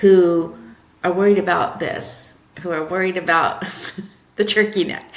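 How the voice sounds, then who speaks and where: A woman with a medium-pitched voice speaks at a fairly slow pace, leaving long, frequent pauses. There is audible room echo and noticeable background noise. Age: 50s. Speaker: marketing consultant. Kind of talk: podcast interview. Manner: animated.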